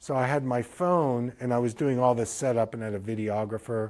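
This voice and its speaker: A man's plain, everyday voice at medium pitch and a fairly quick pace, on a very clean recording with a silent background. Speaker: eye doctor giving a business lecture. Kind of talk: lecture.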